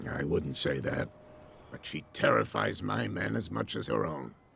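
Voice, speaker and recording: In a put-on character voice, a man growls out raspy, very deep, low tones with lively intonation at a moderate pace. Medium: video game. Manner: guarded, measured.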